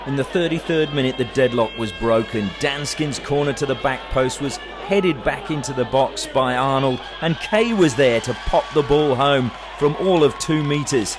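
Noticeable background noise sits behind a man whose voice is fairly high-pitched. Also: ordinary pitch variation, moderate pace. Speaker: football commentator. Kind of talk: sports commentary, recapping match highlights as voiceover. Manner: brisk, fluent, play-by-play narration with lively, even pacing.

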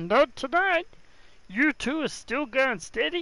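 Putting on a character voice, a man sounds strained at an extremely high pitch and speaks at a fairly slow pace. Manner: put-on character voice.

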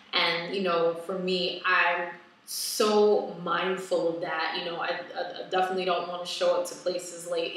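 Strong room echo surrounds a woman speaking at a fairly slow pace. Her pitch is fairly low and her intonation fairly even. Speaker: wellness vlogger. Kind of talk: casual vlog chat. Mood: reflective, personal. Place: home room. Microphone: webcam.

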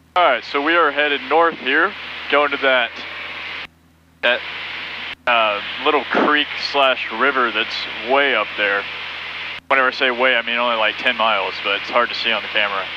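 A man talks at a moderate pace with ordinary pitch variation and long, frequent pauses. The sound is dry with no echo, but background noise is noticeable. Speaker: student pilot vlogger. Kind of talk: casual vlog chat. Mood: excited, cheerful. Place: plane. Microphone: headset.

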